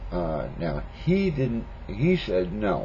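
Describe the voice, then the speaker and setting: A man is speaking. Room echo can be heard. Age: 50s. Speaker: pipe smoking vlogger. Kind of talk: casual monologue response video. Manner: halting, many fillers.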